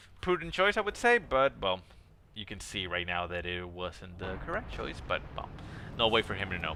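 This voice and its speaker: A man speaks with a non-native accent. His pace is moderate. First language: not English. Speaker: game replay caster. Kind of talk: live commentary. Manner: casual, hesitant with fillers.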